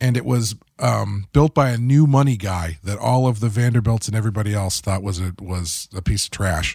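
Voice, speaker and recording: A somewhat breathy man at a moderate pace. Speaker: podcast co-host and comic book writer. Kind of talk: casual podcast chat. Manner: jokey, laid back.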